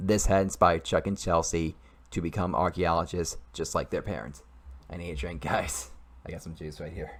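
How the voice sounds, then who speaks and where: Recorded very cleanly against a silent background, a man with a very deep, low pitch and vocal fry speaks at a moderate pace with ordinary pitch variation. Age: 20s. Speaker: YouTuber and amateur writer. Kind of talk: reading aloud own story. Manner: halting, repeats and restarts sentences.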